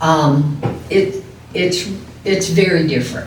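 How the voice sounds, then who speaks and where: A woman speaks with an American accent and fairly even intonation. Noticeable background noise and audible room echo fill the recording. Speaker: widow. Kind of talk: testimony.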